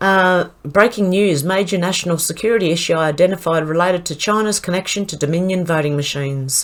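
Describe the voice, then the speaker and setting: A woman at a fairly low pitch, with ordinary pitch variation and a fairly quick pace. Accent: Australian. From Australia. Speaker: online commentator. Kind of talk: news roundup reading.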